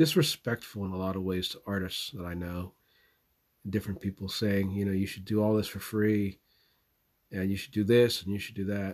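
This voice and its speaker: Fairly quick pace in a Southwestern US accent, with fairly even intonation and big swings in loudness. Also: man, fairly low pitch for a man. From US Southwest. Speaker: podcaster. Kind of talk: eulogy, personal tribute. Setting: away from home, makeshift recording.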